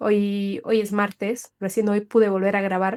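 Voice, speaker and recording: The recording sounds dry and close, without any echo. A woman talks at a moderate speed. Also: very clean recording, silent background. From Bolivia, Cochabamba. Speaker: podcast host and coach. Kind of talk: personal podcast monologue. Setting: solo recording, re-recorded session.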